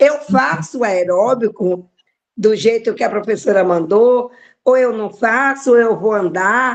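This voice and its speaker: Speaking at a fairly slow pace, a woman uses a fairly high pitch with ordinary variation. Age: 60s. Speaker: class participant asking a question. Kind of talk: live online class Q&A. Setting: live online class. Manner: halting.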